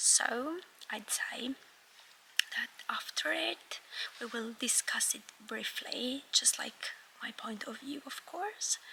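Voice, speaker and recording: Whispering very slowly amid noticeable background noise, a woman leaves long, frequent pauses as her loudness swings widely. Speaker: vlogger. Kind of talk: casual vlog talk. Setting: cinema.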